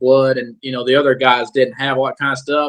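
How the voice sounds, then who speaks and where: A man with a Southern US accent. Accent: southern drawl. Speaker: musician in a tribute band. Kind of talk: casual interview chat. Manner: halting, many repetitions.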